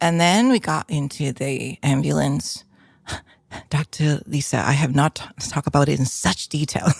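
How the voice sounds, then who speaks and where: On a very clean recording with a silent background and a dry, close sound with no echo, a woman with a very deep, low pitch and vocal fry speaks at a moderate pace with ordinary pitch variation. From Hong Kong. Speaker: painter and musician. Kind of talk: casual interview chat.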